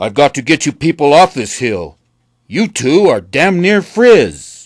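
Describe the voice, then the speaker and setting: A man puts on a character voice, pitching it fairly high and talking at a fairly slow pace. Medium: read story. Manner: gruff, plainspoken.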